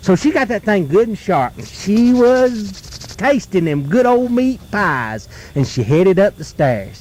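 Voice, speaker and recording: A man with an Appalachian accent speaks at a high pitch and fairly slow pace, with hardly any pauses and very wide pitch swings. Noticeable background noise sits behind him. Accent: Southern US, Appalachian. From North Carolina. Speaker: folklorist, storyteller. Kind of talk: folk tale told around a campfire. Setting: outdoors, live at a campfire in the woods.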